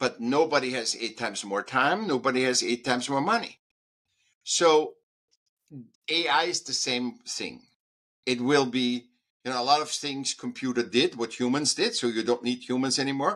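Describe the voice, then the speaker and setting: A man with an Austrian accent speaks at a moderate pace and medium pitch. His pitch varies in an ordinary way, and he leaves long, frequent pauses. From Austria, Vienna. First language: German. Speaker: artist and speaker. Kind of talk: interview. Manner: halting.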